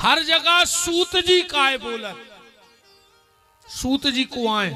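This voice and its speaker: A man's raised, projected voice at an extremely high pitch, with lively intonation over music in the background. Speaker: religious storyteller. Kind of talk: devotional sermon to live audience.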